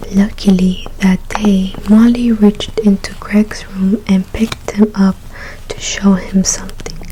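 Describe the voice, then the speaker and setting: A soft-spoken woman with a gentle tone talks at a medium pitch with monotone, flat intonation. Noticeable background noise sits behind her. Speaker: ASMR creator. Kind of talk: ASMR story reading, soft spoken. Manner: soft-spoken, gentle.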